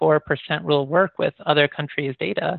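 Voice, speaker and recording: With a Midwestern American accent, a man speaks at a fairly high pitch with ordinary pitch variation. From US Midwest (Michigan and Iowa). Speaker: professor. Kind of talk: interview.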